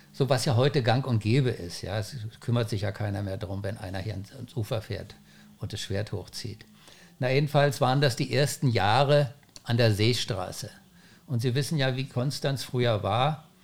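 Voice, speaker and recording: At a moderate pace, a man with a medium pitch and a somewhat breathy voice speaks with ordinary pitch variation. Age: 70s. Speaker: founder of a windsurfing school. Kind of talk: podcast interview.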